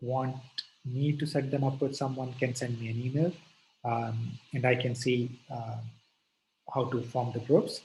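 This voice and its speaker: A man with a dark, mellow tone and medium pitch speaks fairly slowly in a flat monotone, sounding somewhat breathy. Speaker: lecturer. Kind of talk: lecture.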